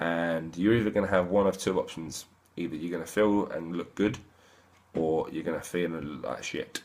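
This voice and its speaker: A man speaks with an English accent in a very deep, low pitch. His pitch variation is ordinary. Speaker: fitness boot camp trainer. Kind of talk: casual vlog monologue. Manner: fast; rambling, slurred words.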